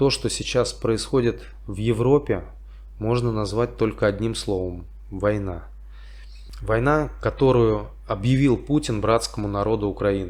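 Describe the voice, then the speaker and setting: A man with a St Petersburg accent at a fairly slow pace. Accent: Russian, St. Petersburg. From St. Petersburg, Russia. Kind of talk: casual talk to camera. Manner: slow, simple wording.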